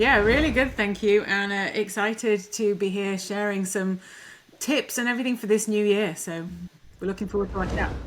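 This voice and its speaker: A woman with an English accent speaks at a medium pitch and moderate pace. Her intonation is fairly even, with noticeable background noise. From England. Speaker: life coach, former orthodontist. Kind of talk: interview.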